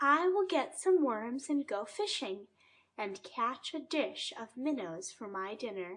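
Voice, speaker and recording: Using a put-on character voice, a woman speaks at a fairly slow pace with a high pitch. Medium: read story. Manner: genteel, polite.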